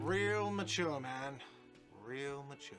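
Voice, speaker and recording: A man puts on a whiny character voice with ordinary pitch variation. Music plays clearly in the background. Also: medium pitch for a man. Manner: shouting, sarcastic.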